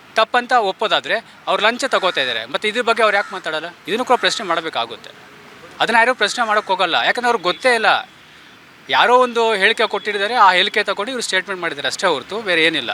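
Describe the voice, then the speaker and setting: A man's raised, projected voice at a high pitch with ordinary pitch variation, a dry, close sound with no echo and noticeable background noise. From Bengaluru, India. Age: 30s. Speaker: community activist. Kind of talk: street interview.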